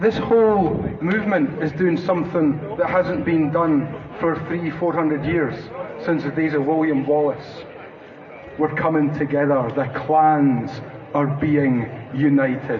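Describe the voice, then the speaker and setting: With noticeable background noise and audible room echo, a man talks at a fairly high pitch and fairly slow pace, using ordinary pitch variation and long, frequent pauses. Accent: Scottish. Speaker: activist speaker. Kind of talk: public speech.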